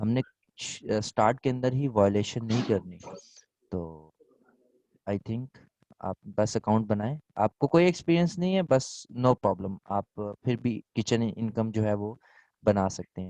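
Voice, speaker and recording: Lively intonation runs through a man's medium-pitched voice, which has a dark, mellow tone. The sound is dry and close, with no echo. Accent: Pakistani English. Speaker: online selling instructor. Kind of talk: Q&A in online class.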